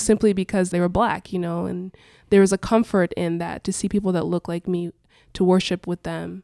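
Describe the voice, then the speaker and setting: A woman with an American accent speaks at a medium pitch and a fairly quick pace. The sound is dry and close with no echo, in a very clean recording with a silent background. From Portugal. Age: 20s. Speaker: church staff and worship singer. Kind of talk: casual chat.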